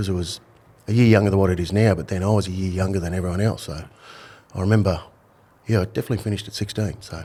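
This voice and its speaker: With an Australian accent, a man speaks at a very deep, low pitch in a dark, mellow tone with fairly even intonation. His pace is very fast, broken by long, frequent pauses. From Australia, Brisbane (north side). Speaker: retired undercover police officer, author. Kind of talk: podcast interview.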